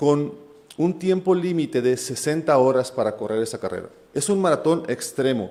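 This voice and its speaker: Slowish in pace, a man with a fairly high voice speaks with lively intonation. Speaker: preacher. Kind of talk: sermon.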